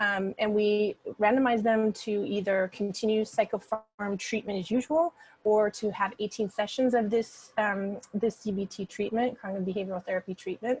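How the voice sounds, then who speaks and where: A woman talks at a moderate pace in a fairly high voice with ordinary pitch variation, dry and close with no echo. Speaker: clinical psychologist presenting research. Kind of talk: research seminar talk. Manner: halting, many fillers.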